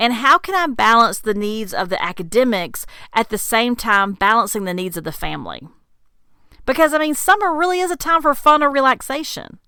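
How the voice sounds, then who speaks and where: At a fairly quick pace, a woman speaks in a fairly high pitch with very wide pitch swings and a bright, sharp tone. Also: very clean recording, silent background. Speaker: podcast host. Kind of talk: solo podcast monologue. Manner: fast.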